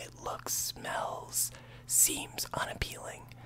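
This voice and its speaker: A man speaks in a whisper. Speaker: ASMR YouTuber. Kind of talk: casual talk to camera. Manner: whispered. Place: home room. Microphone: studio mic.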